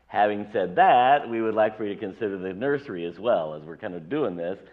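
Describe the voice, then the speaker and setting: A fairly low male voice at a fairly quick pace with ordinary pitch variation. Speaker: pastor. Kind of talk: sermon. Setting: church. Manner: loud.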